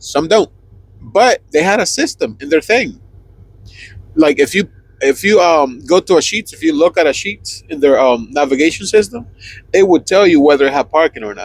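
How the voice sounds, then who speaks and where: Very wide pitch swings and big swings in loudness mark this Spanish-accented voice at a moderate pace. The sound is dry and close, with no echo. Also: man, high pitch for a man. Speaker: truck driver podcast co-host. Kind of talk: casual chat. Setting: inside a truck cab.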